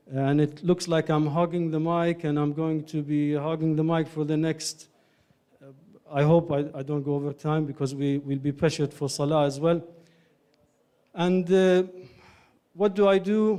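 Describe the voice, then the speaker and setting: A man's fairly high voice in a dark, mellow tone with an Iraqi accent, at a moderate pace with fairly even intonation and long, frequent pauses. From Ireland. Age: 30s. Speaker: doctor and community speaker. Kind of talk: lecture. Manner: halting.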